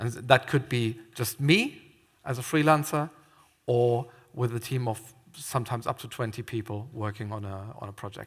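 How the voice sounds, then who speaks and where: Somewhat breathy speech in a German accent, at a moderate pace with ordinary pitch variation and big swings in loudness. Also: man, medium pitch for a man. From Germany. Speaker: theme park scare attraction designer. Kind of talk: conference talk. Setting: stage with audience.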